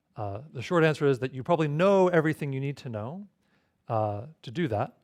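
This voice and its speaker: On a very clean recording with a silent background, a man talks at a fairly quick pace with a fairly high pitch. His intonation is lively, with big swings in loudness. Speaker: tutorial instructor. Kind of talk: tutorial. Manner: fast.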